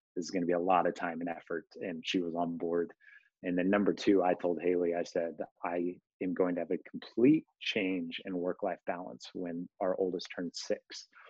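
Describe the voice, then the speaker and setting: A man with an American accent and a very deep, low pitch talks at a moderate pace in a monotone, flat intonation. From Kansas. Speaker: entrepreneur. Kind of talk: interview.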